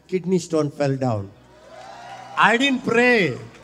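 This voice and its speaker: Shouting in an animated tone, the voice makes very wide pitch swings. Crowd noise fills the background. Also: man. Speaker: preacher. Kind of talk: sermon. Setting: church.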